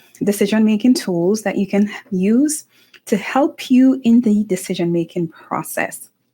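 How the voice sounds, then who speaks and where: A woman speaks at a fairly slow pace with an American accent. Her tone is dark and mellow, and somewhat breathy. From Jamaica. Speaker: author and motivational vlogger. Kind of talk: motivational talk to camera.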